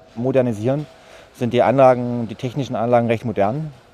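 Intonation stays fairly even in this dark, mellow-toned voice. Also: man. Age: 40s. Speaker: site caretaker. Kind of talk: interview.

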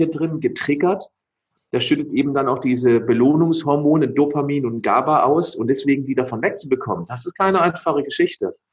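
His pitch sits fairly high and varies in an ordinary way. The man has a plain, everyday voice. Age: 40s. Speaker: nutrition expert and athlete. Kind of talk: interview.

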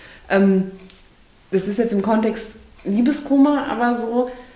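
Her intonation lively and her pitch fairly high, a woman speaks amid noticeable background noise and audible room echo. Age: 20s. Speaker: podcast co-host. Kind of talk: casual chat.

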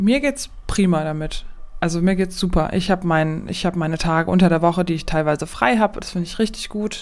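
Fairly quick, medium-pitched female speech with ordinary pitch movement. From Aachen area, Germany. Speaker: nurse, podcast co-host. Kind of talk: casual chat.

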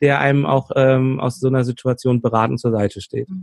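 The man's voice sits at medium pitch with a dark, mellow tone and ordinary pitch variation. He moves at a moderate pace, and the sound is dry and close with no echo. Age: 40s. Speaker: conflict coach and trainer. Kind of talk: interview.

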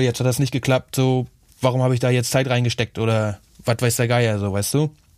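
Medium in pitch, a man talks at a fairly quick pace with monotone, flat intonation. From Schwerin, northern Germany. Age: 20s. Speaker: music producer and DJ. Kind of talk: interview. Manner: casual, filler-heavy.

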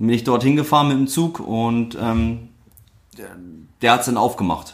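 Using an ordinary speaking voice, a man speaks at a medium pitch and a fairly slow pace with ordinary pitch variation. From northern Germany, Lüneburg Heath. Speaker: former footballer. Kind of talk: casual interview.

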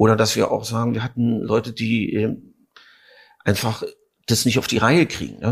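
In a very clean recording with a silent background, a man speaks at medium pitch and a moderate pace with vocal fry. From East Berlin. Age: 50s. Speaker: actor and theatre director. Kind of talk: interview.

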